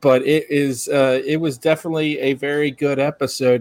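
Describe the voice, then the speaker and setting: At a moderate pace, a man talks in a normal speaking voice with medium pitch and fairly even intonation. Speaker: podcast host. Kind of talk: casual chat.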